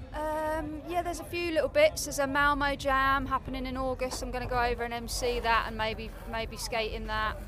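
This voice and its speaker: A woman talks while noticeable background noise is present. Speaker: skateboarder. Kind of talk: casual interview.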